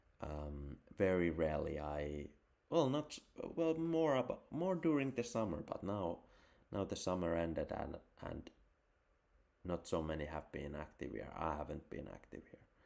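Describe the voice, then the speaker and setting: At a moderate pace, a man talks with long, frequent pauses. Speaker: crypto and photography livestreamer. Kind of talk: casual solo livestream chat. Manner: mumbling; halting, repetitive.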